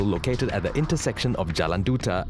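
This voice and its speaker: Music plays in the background as a man speaks at a fairly quick pace. His pitch is medium, with very wide swings. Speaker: voice actor. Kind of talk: corporate narration.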